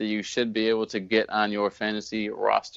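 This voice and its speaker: The pace is moderate. The speaker is a man. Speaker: fantasy football podcast host. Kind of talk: sports podcast segment, fantasy advice. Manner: monotone.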